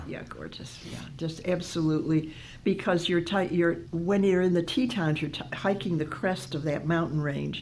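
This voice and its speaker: Using hardly any pauses, a woman with vocal fry talks at a moderate pace, with ordinary pitch variation and big swings in loudness. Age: 80s+. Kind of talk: interview answer.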